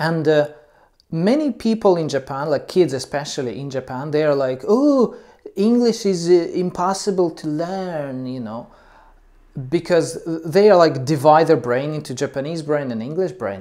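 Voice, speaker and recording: With a non-native accent, the speaker uses lively intonation and a dark, mellow tone at a moderate pace. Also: man, fairly high pitch for a man. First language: not English. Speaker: English teacher. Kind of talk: educational talk. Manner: halting, many fillers.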